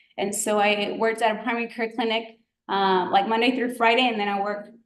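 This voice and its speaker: In a Spanish accent, a woman speaks at a fairly quick pace and fairly high pitch, her intonation fairly even, with audible room echo. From Georgia, US South (grew up there undocumented from childhood). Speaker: physician, guest speaker. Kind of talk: presentation to students. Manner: casual, many fillers (um, like).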